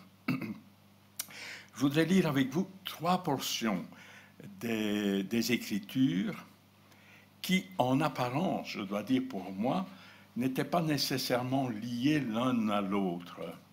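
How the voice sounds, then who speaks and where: Audible room echo surrounds a man speaking very slowly at medium pitch with lively intonation. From Belgium, Borinage (Hainaut). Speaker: preacher. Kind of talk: sermon.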